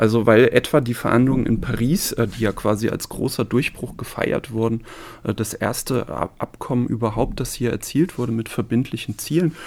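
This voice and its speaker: This man has a plain, everyday voice and a medium pitch. He talks at a moderate pace, and his pitch varies in an ordinary way. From Saarland, Germany (village near Neunkirchen). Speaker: sociology professor. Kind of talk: interview. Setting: studio.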